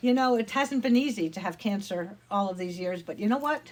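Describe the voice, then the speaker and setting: A woman's voice has a warm tone and is somewhat breathy. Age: 70s. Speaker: retired church missionary. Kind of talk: personal testimony. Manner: warm, conversational.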